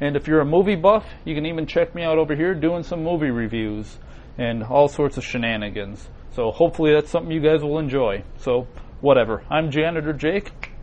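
At a fairly quick pace, an unremarkable speaking voice comes through with ordinary pitch variation. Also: man, fairly high pitch for a man. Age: 30s. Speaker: web show co-host. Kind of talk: casual chat.

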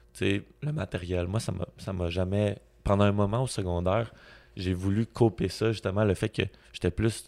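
A man with a Quebec accent talks at a moderate pace in a fairly low pitch. The recording is very clean, with a silent background. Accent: Québécois French. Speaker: podcast host. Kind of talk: casual chat. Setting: video recording with sunlight on camera.

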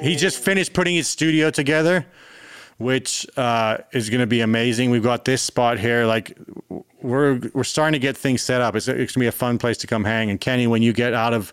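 With a South African accent, a man speaks at a fairly quick pace. His pitch varies in an ordinary way and his loudness stays very even. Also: medium pitch for a man. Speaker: musician. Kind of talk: casual chat. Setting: video call.

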